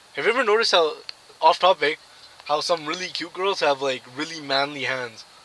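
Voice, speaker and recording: Against noticeable background noise, a man speaks at a fairly quick pace in a fairly high pitch with ordinary pitch variation. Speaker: vlogger. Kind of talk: casual vlog monologue. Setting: in a car. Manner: soft-spoken.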